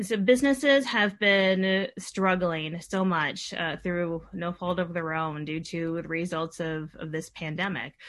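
A woman with an American accent, fairly low-pitched, at a fairly slow pace with hardly any pauses and ordinary pitch variation. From Madison, Wisconsin. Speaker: city council member and candidate. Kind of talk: candidate interview. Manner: hesitant, many fillers.

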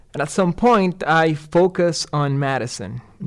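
A man with a Puerto Rican accent speaks at a moderate pace. His intonation is lively. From Puerto Rico. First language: Spanish. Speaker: street design engineer. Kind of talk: interview, casual conversation. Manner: halting, hesitant with fillers.

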